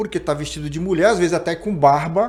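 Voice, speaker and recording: This man's dark, mellow voice sits fairly high in pitch. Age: 60s. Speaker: podcast host. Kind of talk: political interview.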